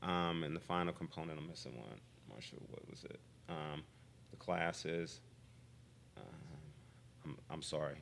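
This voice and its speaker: A man's very deep, low voice with vocal fry and long, frequent pauses. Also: ordinary pitch variation. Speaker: physician. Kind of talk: interview. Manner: fast; halting, many fillers.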